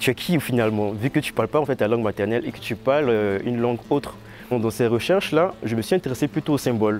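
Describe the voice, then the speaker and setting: Fairly quick male speech at medium pitch, with ordinary pitch variation and music in the background. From Ivory Coast. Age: 20s. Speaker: visual artist. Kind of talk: interview. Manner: halting, many fillers.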